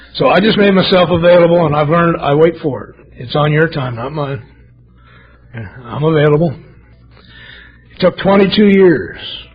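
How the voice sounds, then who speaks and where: Noticeable background noise sits behind a man with a fairly high pitch and ordinary pitch variation. He keeps a moderate pace broken by long, frequent pauses. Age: 60s. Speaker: AA speaker. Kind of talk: testimony. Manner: animated.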